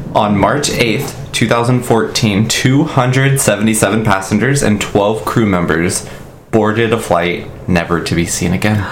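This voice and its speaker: Amid noticeable background noise and audible room echo, a man speaks very slowly at a fairly low pitch. His pitch varies in an ordinary way and his loudness stays very even. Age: 20s. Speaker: podcast co-host. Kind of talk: casual storytelling chat.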